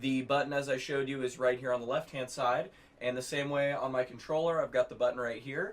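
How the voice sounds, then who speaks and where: Moving at a fairly quick pace, a man talks in a fairly high pitch with monotone, flat intonation. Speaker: gaming YouTuber. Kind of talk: tutorial. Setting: home gaming setup. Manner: loud. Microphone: far from the mic.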